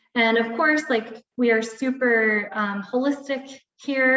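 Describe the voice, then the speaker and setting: A woman talks with a normal speaking voice at a fairly high pitch. Her intonation is fairly even. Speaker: wellness coach. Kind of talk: webinar presentation. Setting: live video webinar.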